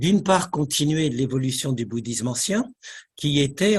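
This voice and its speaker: Lively intonation at a fairly slow pace, somewhat breathy throughout. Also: man. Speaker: meditation teacher. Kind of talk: lecture. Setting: meditation hall with audience. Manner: halting.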